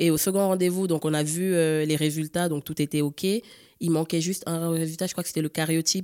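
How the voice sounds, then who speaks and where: A woman with a fairly low voice talks at a fairly quick pace in a monotone, flat intonation. The sound is dry and close with no echo, and the recording is very clean, with a silent background. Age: 30s. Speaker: egg donor. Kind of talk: testimony. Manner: hesitant, many fillers.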